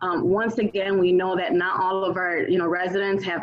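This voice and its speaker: Over noticeable background noise, a woman talks at a moderate pace and a medium pitch. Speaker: city councilwoman. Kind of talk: community meeting updates. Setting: video call.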